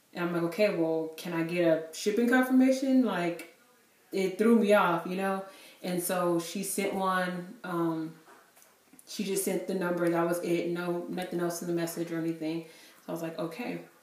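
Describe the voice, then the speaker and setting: With audible room echo, a woman speaks at a moderate pace in a fairly low pitch, her loudness swinging widely. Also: ordinary pitch variation. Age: 20s. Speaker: beauty vlogger. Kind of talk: product review. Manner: casual, filler-heavy. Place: home room. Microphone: camera far.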